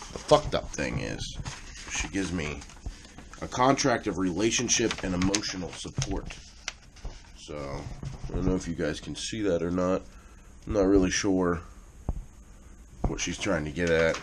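Long, frequent pauses run through the speech over noticeable background noise. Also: man, very deep, low pitch for a man, moderate pace. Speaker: vlogger. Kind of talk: casual vlog chat. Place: home room. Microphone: phone near.

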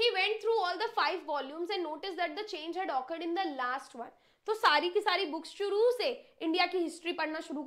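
A woman projects her voice in a raised, bright, sharp tone at an extremely high pitch. She sounds animated, with lively intonation at a moderate pace. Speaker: English teacher. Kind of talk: online lecture. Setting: live stream.

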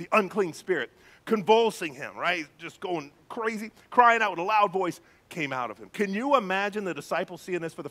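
Delivered in a natural reading voice, the speech has ordinary pitch variation.

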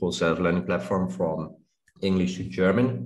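A man's voice, very deep and low in pitch. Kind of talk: interview answer. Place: home room. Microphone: video call.

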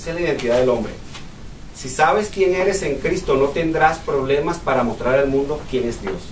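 There is audible room echo and light background noise as a man talks at a moderate pace with ordinary pitch variation. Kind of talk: bible study teaching. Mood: earnest, personal testimony. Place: meeting room. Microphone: camera far.

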